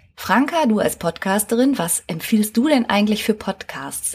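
A woman's somewhat breathy voice carries lively intonation. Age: 40s. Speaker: psychotherapist and podcast host. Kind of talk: solo podcast monologue. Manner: lively, casual.

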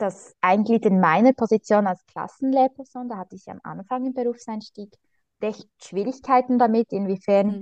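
A woman's medium-pitched voice in a Swiss accent, with ordinary pitch variation, at a moderate pace, dry and close with no echo. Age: 20s. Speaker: primary school teacher. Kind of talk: interview.

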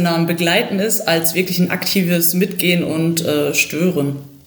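A woman speaks at a fairly low pitch against noticeable background noise. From Germany, Ruhr area (Bochum). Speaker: football coach and former player. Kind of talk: casual football analysis.

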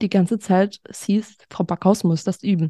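A woman's dark, mellow voice at medium pitch, fairly even in intonation, dry and close with no echo over a quiet background. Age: 20s. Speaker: social education assistant and patient influencer. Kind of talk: interview about her medical history.

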